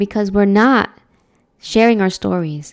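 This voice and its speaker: A woman speaks in an animated tone at a moderate pace. Her pitch varies in an ordinary way. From New Jersey (born in Dominican Republic). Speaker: podcast host with a doctorate. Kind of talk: solo podcast monologue. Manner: casual and animated.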